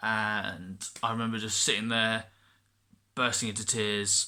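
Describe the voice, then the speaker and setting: Here a man speaks in an English accent. His tone is bright and sharp. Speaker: vlogger. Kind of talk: personal vlog. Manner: halting, many repetitions.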